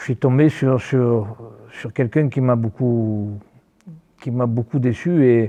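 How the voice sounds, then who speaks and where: A man's voice at a medium pitch keeps a fairly even intonation and a fairly slow pace. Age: 60s. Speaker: football coach. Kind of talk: interview. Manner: halting, many repetitions.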